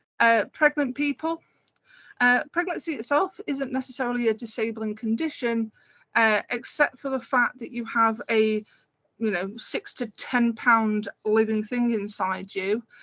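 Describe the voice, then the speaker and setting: A woman with a fairly high pitch and ordinary pitch variation talks at a fairly slow pace. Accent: Scouse. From Merseyside, northwest England. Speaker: game producer and accessibility consultant. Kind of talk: conference talk with slides. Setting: online community event. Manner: conversational, many filler words.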